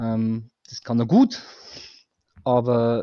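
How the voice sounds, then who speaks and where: Dry and close with no echo, the sound carries a dark, mellow tone. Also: man. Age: 40s. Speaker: fan guest. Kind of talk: casual chat.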